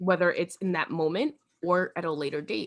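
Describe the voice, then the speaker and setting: An animated woman speaks at a moderate pace with a New York accent. Her pitch sits fairly low. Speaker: podcast host. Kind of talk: casual chat.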